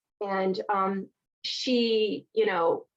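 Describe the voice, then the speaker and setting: A woman talks with a Southern US accent. Her pitch is medium. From Virginia, US South. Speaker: divorce recovery coach. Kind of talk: live online workshop. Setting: live stream.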